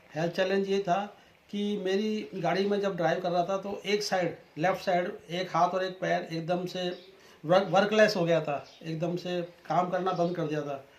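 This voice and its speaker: Against noticeable background noise, a man speaks with a high pitch and monotone, flat intonation. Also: moderate pace. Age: 60s. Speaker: customer giving testimonial. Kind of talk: testimony.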